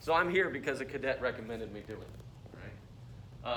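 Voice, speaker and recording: Audible room echo accompanies a man talking at a fairly quick pace. His pitch sits in the medium range with ordinary variation. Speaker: university lecturer. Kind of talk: lecture. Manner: mumbling.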